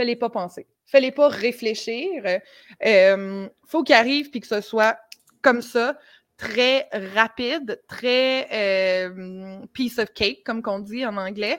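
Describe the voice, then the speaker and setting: With a Quebec accent, a woman speaks very slowly in a fairly high pitch, with ordinary pitch variation and big swings in loudness, on a very clean recording with a silent background. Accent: Québécois French. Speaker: conversion optimization consultant. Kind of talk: casual chat.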